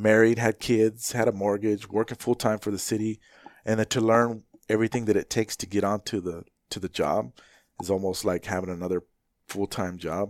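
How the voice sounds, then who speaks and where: Fairly quick and fairly low-pitched, an unremarkable speaking voice from a man keeps a fairly even intonation. The sound is dry and close with no echo, on a very clean recording with a silent background. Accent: American. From Phoenix, Arizona (west side, Maryvale). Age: 40s. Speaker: fire captain. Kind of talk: casual interview chat.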